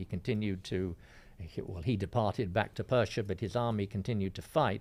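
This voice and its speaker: A man with a southern English accent, fairly low in pitch with ordinary pitch variation, at a fairly quick pace on a very clean recording with a silent background. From England, northwest London. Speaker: classics professor. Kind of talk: radio interview. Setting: radio studio.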